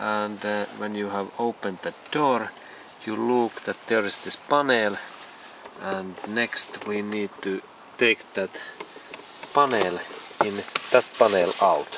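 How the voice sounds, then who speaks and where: Speech comes at a very slow pace with long, frequent pauses. The sound is dry with no echo, though noticeable background noise is present. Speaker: car repair tutorial maker. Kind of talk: tutorial. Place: car. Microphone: phone near.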